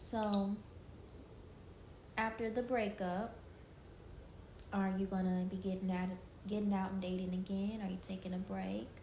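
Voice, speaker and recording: Speaking at a moderate pace with long, frequent pauses, a woman holds a medium pitch in a monotone, flat delivery, with audible room echo and noticeable background noise. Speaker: street-style interviewer on a video chat app. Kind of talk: casual interview.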